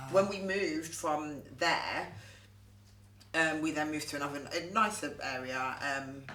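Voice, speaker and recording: A woman's very deep, low voice at a fairly slow pace with ordinary pitch variation, amid audible room echo and noticeable background noise. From Southampton, southern England. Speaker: actress. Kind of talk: casual chat.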